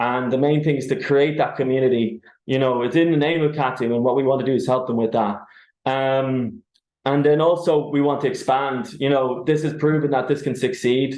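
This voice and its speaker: With an Irish accent, a man speaks at medium pitch with fairly even intonation. Audible room echo is present. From Ireland. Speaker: tenants union organiser. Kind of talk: webinar presentation.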